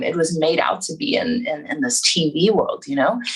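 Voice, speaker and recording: The woman's pitch swings very widely as she talks at a moderate pace. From Iran, raised abroad as third culture kid. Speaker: musician. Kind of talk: podcast interview.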